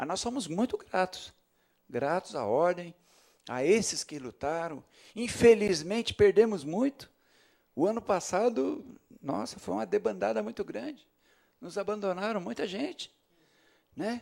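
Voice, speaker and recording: A high-pitched male voice at a fairly slow pace, full of long, frequent pauses and very wide pitch swings. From São Paulo state, Osasco. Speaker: city councillor. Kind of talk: ceremonial speech. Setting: council chamber. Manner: halting.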